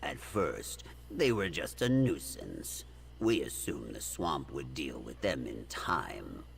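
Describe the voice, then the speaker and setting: A man uses a put-on character voice with a very deep, low pitch. He talks at a fairly slow pace against clear background noise. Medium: video game.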